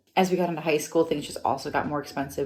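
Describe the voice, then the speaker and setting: A woman with an American accent talks very fast over noticeable background noise. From US Midwest, Wisconsin. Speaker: travel vlogger. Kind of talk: casual unscripted vlog monologue. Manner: chatty, conversational.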